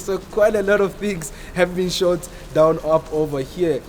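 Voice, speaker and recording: High-pitched male voice over noticeable background noise. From born in DR Congo, raised in South Africa. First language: French and Swahili. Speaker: local tour guide. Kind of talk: guided tour conversation.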